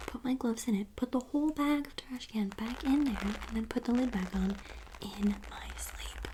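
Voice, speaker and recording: A soft-spoken woman talks at a moderate pace with big swings in loudness. Noticeable background noise sits behind her. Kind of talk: ASMR soft spoken ramble; casual talk to camera.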